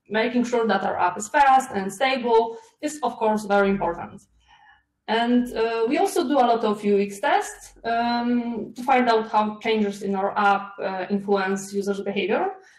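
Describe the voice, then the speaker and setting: Over audible room echo, a woman speaks at a moderate pace with ordinary pitch variation. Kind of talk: conference talk. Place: home room. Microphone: webcam.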